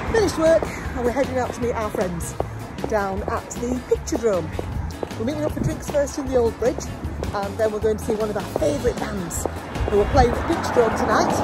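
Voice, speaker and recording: Loud music plays in the background as a woman speaks at a fairly quick pace. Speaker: vlogger. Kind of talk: casual vlog chat. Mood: cheerful, joking. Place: street. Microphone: phone near.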